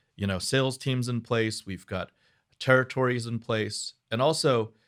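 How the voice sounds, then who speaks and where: A man talks at a fairly slow pace in a normal speaking voice, pitched at a medium level. The recording is very clean, with a silent background. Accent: American. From New York City (Flushing, Queens). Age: 40s. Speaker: business owner. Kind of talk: interview.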